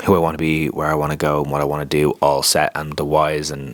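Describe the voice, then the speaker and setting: A man with an Irish accent speaks in a very deep, low voice. Noticeable background noise sits behind him. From Ireland, County Wicklow. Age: 30s. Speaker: life coach and content creator. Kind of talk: casual vlog monologue.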